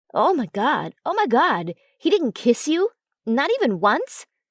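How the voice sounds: Doing a put-on character voice, a woman speaks fairly slowly at a high pitch with big pitch swings and a slightly husky edge, the sound dry and close with no echo on a very clean recording with a silent background.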